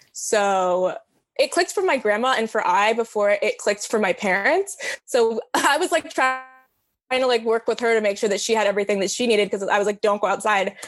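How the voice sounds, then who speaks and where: In an American accent, a woman uses a normal speaking voice at a fairly high pitch, with lively intonation, very even loudness and a fairly quick pace. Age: 20s. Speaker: college student. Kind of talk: casual interview.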